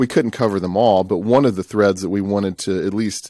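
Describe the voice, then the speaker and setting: A man's very deep, low voice with a dark, mellow tone and a Southern US accent, fairly quick and fairly even in intonation, on a very clean recording with a silent background. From US South, Tupelo, Mississippi. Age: 30s. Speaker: church elder and documentary producer. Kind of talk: interview conversation.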